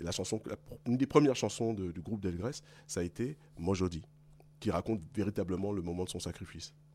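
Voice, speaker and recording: Talking at a very fast pace with long, frequent pauses, a man has a very deep, low voice and a dark, mellow tone. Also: ordinary pitch variation. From Paris region, France (Guadeloupean parents). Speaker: blues musician, singer. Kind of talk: interview.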